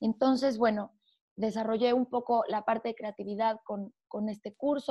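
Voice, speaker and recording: A woman speaks in a normal speaking voice with fairly high pitch and fairly even intonation against a quiet background. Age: 20s. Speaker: entrepreneur and wellness coach. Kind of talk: casual interview chat.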